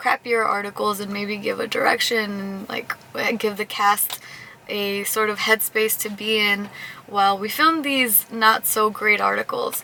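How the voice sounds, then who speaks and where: Soft-spoken and fairly high-pitched, a woman talks at a fairly slow pace with fairly even intonation over noticeable background noise. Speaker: vlogger and news show showrunner. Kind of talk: casual vlog chat.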